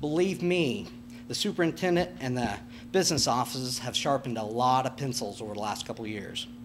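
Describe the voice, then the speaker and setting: A man with an American accent talks at a fairly quick pace in a medium pitch. His intonation is lively, and there is noticeable background noise. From Nebraska, US Midwest. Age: 40s. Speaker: farmer and school board candidate. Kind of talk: candidate forum speech. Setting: public candidate panel. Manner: halting.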